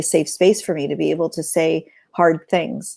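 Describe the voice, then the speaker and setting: A woman's fairly low, dark, mellow voice with vocal fry. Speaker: podcast co-host. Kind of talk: casual chat. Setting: livestream. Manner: loud.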